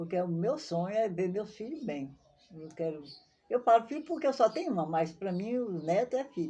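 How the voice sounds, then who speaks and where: Her voice has a dark, mellow tone and a medium pitch. She keeps a moderate pace while her pitch swings very widely. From Brazil, southern Bahia (Maiquinique region). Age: 70s. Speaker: elderly local resident telling her life story. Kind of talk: interview, life story.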